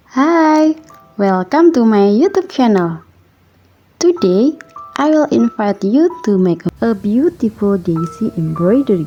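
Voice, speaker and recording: Over music in the background, a woman with a non-native accent speaks fairly slowly in a fairly high voice, her pitch swinging very widely while her loudness stays very even. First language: not English. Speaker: embroidery crafter. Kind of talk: craft tutorial narration.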